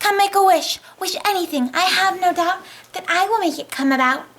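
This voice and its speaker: A put-on character voice that sounds female, squeaky and extremely high-pitched, delivered at a moderate pace. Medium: stage play.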